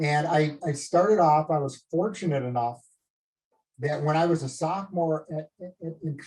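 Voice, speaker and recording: Here is a man with a Minnesota accent. His pitch is fairly high. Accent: Minnesota accent, often taken for Canadian. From northern Minnesota. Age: 50s. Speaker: medical device company executive. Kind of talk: casual talk on a group video call. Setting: live group call.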